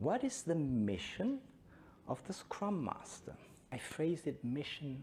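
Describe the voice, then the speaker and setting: A somewhat breathy man with a German accent, fairly high pitch, very wide pitch swings and a very slow pace. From Belgium. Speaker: Scrum trainer. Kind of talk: conference talk.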